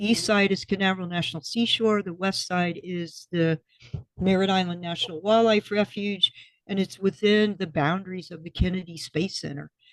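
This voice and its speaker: A woman with an American accent speaks at medium pitch and moderate pace, with fairly even intonation, in an unremarkable speaking voice and a dry, close sound with no echo. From Florida. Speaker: restaurant co-owner and former commercial fisher. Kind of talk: podcast interview answer.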